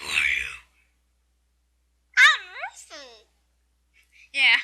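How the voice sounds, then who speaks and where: The speaker puts on a character voice at an extremely high pitch. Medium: game stream.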